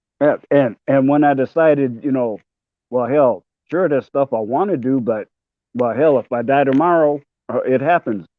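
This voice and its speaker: Speaking at a moderate pace with ordinary pitch variation, a man with an American accent has a fairly high pitch. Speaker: panel guest, cancer survivor. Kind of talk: casual chat. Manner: halting, many fillers.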